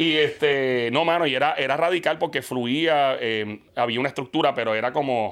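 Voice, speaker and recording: In a very clean recording with a silent background, a man with a fairly high pitch speaks at a moderate pace with ordinary pitch variation and hardly any pauses. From Puerto Rico, partly raised in Queens, New York. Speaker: radio and TV host. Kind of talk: casual interview chat. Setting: studio. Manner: animated.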